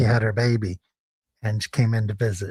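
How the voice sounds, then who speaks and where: A man with an American accent talks at a moderate pace, sounding somewhat breathy. The sound is dry and close, with no echo. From US Midwest, Peoria, Illinois. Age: 60s. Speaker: live streamer, former lawyer. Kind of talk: casual livestream chat reading comments. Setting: live stream. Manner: rambling, conversational.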